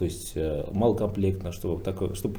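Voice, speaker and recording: This man has a very deep, low pitch and a dark, mellow tone that is somewhat breathy. Audible echo from the room surrounds his voice. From Bashkortostan, Russia. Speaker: businessman, PR specialist. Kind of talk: roundtable discussion. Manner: hesitant, many filler sounds.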